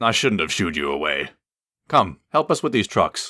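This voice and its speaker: A man does a put-on character voice that is raspy and fairly low, with very wide pitch swings. He keeps a moderate pace in a very clean recording with a silent background. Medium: read story.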